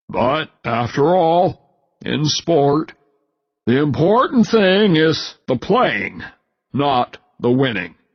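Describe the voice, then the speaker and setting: A man's fairly high put-on character voice, very slow with long, frequent pauses and very wide pitch swings. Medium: read story. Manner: formal, stiff.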